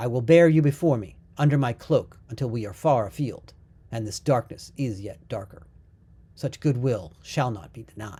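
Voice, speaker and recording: Put-on character voice at a low-to-middle pitch and a moderate pace. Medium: read story. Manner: solemn, archaic.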